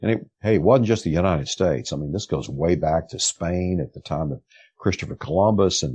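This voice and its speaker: Speaking with a Texan accent, a man uses a very deep, low pitch and lively intonation. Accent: Texan Southern American. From rural East Texas, US South. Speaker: investigative reporter. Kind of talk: interview conversation.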